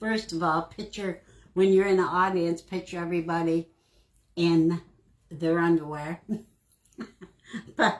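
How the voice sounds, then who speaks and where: A woman speaks with a fairly low pitch. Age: 70s. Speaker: crafting livestream host. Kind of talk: casual livestream chat while crafting.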